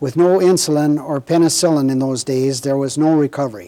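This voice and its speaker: Speaking at a moderate pace in an Upper Midwest accent, a man uses a fairly high pitch and fairly even intonation. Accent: Upper Midwest American. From Minnesota, Red River Valley. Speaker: war veteran. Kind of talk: oral history interview. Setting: recorded interview with cameras.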